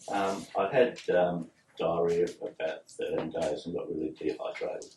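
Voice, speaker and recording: A man speaks at a moderate pace with an Australian accent. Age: 60s. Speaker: patient. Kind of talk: medical history interview. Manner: halting.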